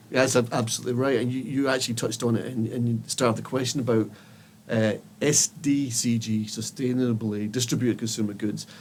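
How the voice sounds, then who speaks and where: A man with a Scottish accent, medium pitch, fairly even intonation and a very fast pace. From Scotland. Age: 50s. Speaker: tech company CEO. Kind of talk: podcast interview. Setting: studio.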